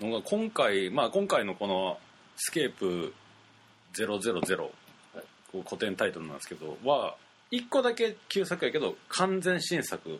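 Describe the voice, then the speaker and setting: A man with a Kansai accent, speaking at a fairly slow pace, his loudness swinging widely. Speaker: radio host. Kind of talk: casual chat.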